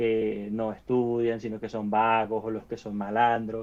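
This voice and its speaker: The voice belongs to a man with a medium pitch. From Venezuela. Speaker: podcast co-host. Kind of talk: casual chat. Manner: halting, many repeated syllables.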